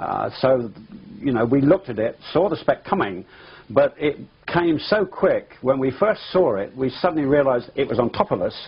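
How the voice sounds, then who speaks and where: With an English accent, a man with a fairly high pitch speaks in very wide pitch swings. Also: moderate pace. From England. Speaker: pilot. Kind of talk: interview testimony. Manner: halting.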